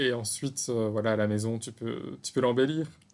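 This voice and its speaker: The man's medium-pitched voice moves at a very slow pace. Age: 30s. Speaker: pastry podcast co-host. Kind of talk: casual chat.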